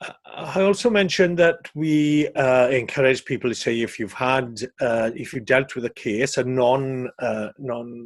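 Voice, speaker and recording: A man speaks at a very slow pace. His pitch is medium, with ordinary pitch variation. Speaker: safeguarding trainer. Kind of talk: training webinar. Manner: hesitant, many fillers.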